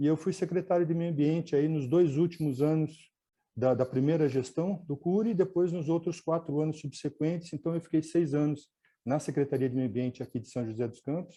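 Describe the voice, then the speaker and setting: Fairly quick and fairly high-pitched, a man speaks in a dark, mellow tone with ordinary pitch variation. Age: 60s. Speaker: environmentalist and radio host. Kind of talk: webinar talk. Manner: halting, with filler words.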